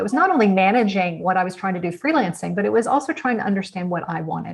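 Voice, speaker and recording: With an American accent, a woman speaks at a medium pitch, somewhat breathy and with lively intonation. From United States. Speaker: author and innovation consultant. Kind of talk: interview answer.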